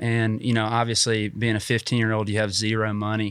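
Medium pitch from a man, in a Southern US accent. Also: very clean recording, silent background. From US South, North Georgia (Dalton). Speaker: small business owner. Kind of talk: interview. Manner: frequent fillers (um, uh).

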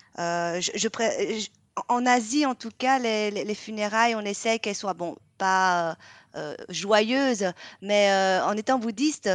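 A woman speaks at a very slow pace, her voice sounding dry and close with no echo. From Vietnam. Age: 40s. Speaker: pastry podcast co-host, baking show contestant. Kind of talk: casual chat.

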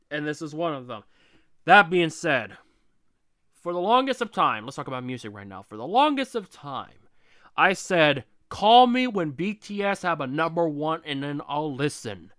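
Over a very clean recording with a silent background, a man with a fairly high pitch speaks in an animated way, his bright, sharp tone moving through very wide pitch swings. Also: moderate pace, big swings in loudness. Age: 20s. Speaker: podcast host. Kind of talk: solo monologue. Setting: home room.

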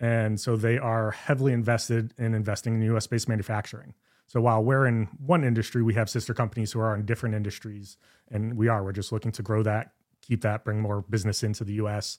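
A man speaks very fast at a medium pitch, his intonation monotone and flat. The recording is very clean, with a silent background. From Connecticut (Southington). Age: 40s. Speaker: manufacturing company executive. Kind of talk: casual interview.

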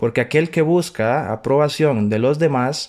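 Over a silent background in a very clean recording, a man speaks at a fairly slow pace with ordinary pitch variation. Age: 30s. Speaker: podcast host and writer. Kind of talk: motivational monologue.

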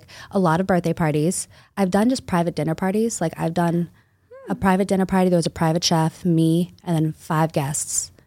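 Moving at a fairly quick pace, a woman with an American accent has a dark, mellow tone and fairly even intonation. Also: fairly low pitch for a woman. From Boston area, Massachusetts. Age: 20s. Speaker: mobile bartending business owner. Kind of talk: casual interview chat.

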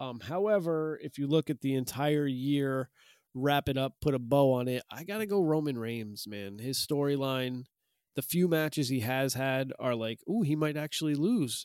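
A man with an American accent and a normal speaking voice talks at a moderate pace, pitched fairly high with ordinary pitch variation. The recording is very clean with a silent background, dry and close with no echo. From US Northeast. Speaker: professional wrestler and podcast host. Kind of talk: casual chat.

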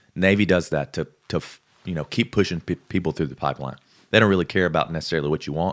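Recorded very cleanly against a silent background, a man with an American accent talks at a very fast pace in a very deep, low pitch with ordinary pitch variation, and the sound is dry and close with no echo. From Alabama. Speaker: former military bomb disposal trainee, guest. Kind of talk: casual chat.

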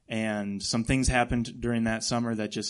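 Against a quiet background, a man with an American accent and a plain, everyday voice speaks at a moderate pace with a medium pitch. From Ohio, Akron. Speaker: missionary. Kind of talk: interview testimony in church.

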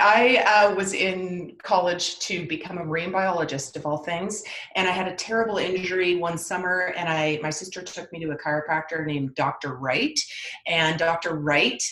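Against noticeable background noise, a woman speaks with a fairly low pitch and ordinary pitch variation. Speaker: podcast guest, chiropractor. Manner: fast talker.

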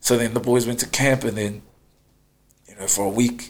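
The speaker has a New Zealand accent and talks fairly quickly with monotone, flat intonation. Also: man. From New Zealand, West Auckland. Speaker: rugby player. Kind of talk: casual interview.

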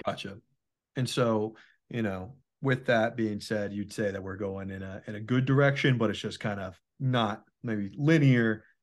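Against a quiet background, a man with a fairly low pitch talks at a moderate pace in an ordinary speaking voice. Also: ordinary pitch variation. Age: 20s. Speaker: podcast host. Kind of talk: casual chat.

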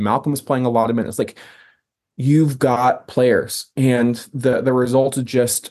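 A man speaks at a medium pitch and a moderate pace. His tone is dark and mellow, with monotone, flat intonation. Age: 30s. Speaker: sports podcast host. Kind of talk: casual chat.

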